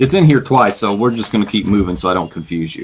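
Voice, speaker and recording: Pitch swings very widely as a man talks at a moderate pace. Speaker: bible teacher podcaster. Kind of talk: bible teaching podcast. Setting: webcam recording. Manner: casual, self-correcting.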